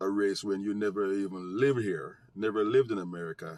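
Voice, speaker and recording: The speaker has a strong Jamaican accent and a fairly slow pace. The sound is dry and close, with no echo. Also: man. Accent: thick Jamaican. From United States. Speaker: vlogger, social commentator. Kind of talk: casual commentary monologue to camera.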